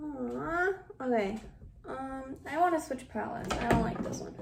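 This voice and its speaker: A woman's high voice with lively intonation, in audible room echo and noticeable background noise. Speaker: vlogger. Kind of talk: casual chat.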